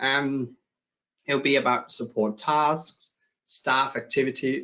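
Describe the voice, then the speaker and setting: This man speaks with a Danish accent. His pitch sits fairly high. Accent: Danish, noticeable. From Denmark. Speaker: software company client director. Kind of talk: webinar presentation. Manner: hesitant, many fillers.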